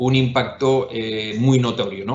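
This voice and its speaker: Audible room echo surrounds a man with a Spanish accent who speaks at a medium pitch and a very slow pace. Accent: Spanish (Spain). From Spain. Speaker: investment firm executive. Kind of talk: webinar panel discussion. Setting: online webinar. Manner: hesitant, many fillers and repetitions.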